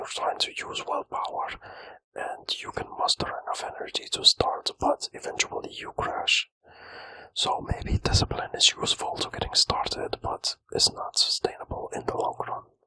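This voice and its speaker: A man whispering at a moderate pace. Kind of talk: whispered ASMR self-help talk to camera. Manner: whispered, soft, relaxing.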